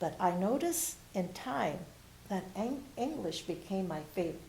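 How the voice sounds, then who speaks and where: A woman's voice with lively intonation and audible room echo. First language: Spanish. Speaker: retired bilingual teacher. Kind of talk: oral history interview. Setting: university library, on camera.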